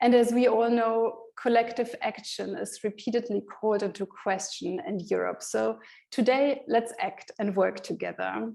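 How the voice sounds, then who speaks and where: A woman with a German accent talks at a moderate pace. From Germany. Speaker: conference moderator. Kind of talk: event moderation. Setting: online conference via video call.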